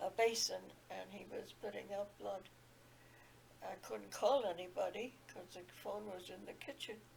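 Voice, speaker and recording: A woman speaks at a fairly slow pace with long, frequent pauses and big swings in loudness. Noticeable background noise runs underneath. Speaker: retired nurse. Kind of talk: interview answer.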